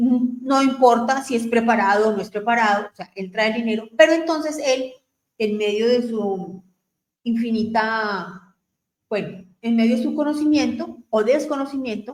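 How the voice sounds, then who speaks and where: Speaking at a fairly slow pace, a woman has an unremarkable speaking voice with a fairly high pitch and ordinary pitch variation. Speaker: radio host. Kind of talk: radio talk on family topics.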